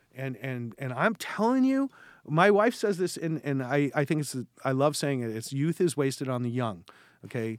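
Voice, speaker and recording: Here is a man with a Californian accent and a fairly high pitch. His intonation is lively and his pace moderate. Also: very clean recording, silent background. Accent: Californian American. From West Los Angeles, California. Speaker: investment manager. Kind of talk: interview. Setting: in person.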